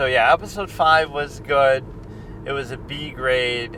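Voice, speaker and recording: A man's medium-pitched voice over noticeable background noise. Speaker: movie and TV reviewer. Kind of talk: casual monologue. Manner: monotone.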